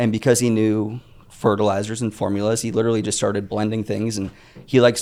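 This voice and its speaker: Noticeable background noise sits behind a man speaking at a very fast pace with an American accent. His fairly low pitch stays monotone and flat. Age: 30s. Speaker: entrepreneur. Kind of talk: interview.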